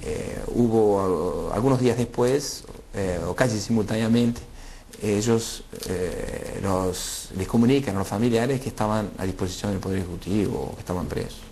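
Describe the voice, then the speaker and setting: A man's medium-pitched voice at a moderate pace, with ordinary pitch variation, audible room echo and noticeable background noise. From Argentina, Rafaela (Santa Fe). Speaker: former political exile. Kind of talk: interview testimony. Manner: halting, many fillers.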